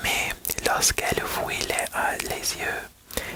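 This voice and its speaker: Whispering from a woman over noticeable background noise. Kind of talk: bedtime-style story reading. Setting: ASMR video. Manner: whispered, soft.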